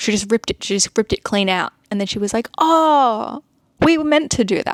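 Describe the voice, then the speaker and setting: A woman speaks with an Australian accent at a moderate pace. The sound is dry and close with no echo. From Australia (Sydney). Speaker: art content creator. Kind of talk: casual vlog chat. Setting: home, seated.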